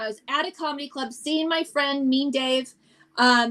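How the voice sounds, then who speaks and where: An animated tone in a raised, projected voice. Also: woman. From US, Italian-American family. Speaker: stand-up comedian. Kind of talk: casual chat.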